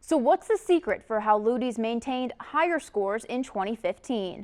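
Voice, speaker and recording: In a plain, everyday voice, a woman speaks at a moderate pace and fairly high pitch with lively intonation. The sound is dry and close with no echo. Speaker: television reporter and news anchor.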